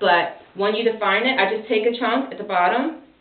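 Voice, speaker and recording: There is noticeable background noise in this clip. A woman with a medium pitch speaks at a moderate pace. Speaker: parent doing child's hair. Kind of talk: hair care tutorial talk.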